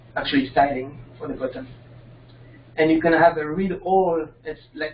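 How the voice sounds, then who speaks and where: A fairly high-pitched man with a non-native accent, fairly even intonation, a moderate pace and big swings in loudness, over noticeable background noise. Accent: foreign. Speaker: software developer presenting his extension. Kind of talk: software tutorial demo. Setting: video call with screen sharing. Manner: halting. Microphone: connection keeps dropping.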